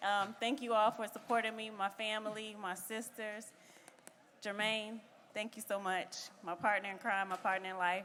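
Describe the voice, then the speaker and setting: A woman speaks at a fairly high pitch. Her intonation is monotone and flat. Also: moderate pace. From US South. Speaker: bodybuilding competitor. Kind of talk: post-show interview.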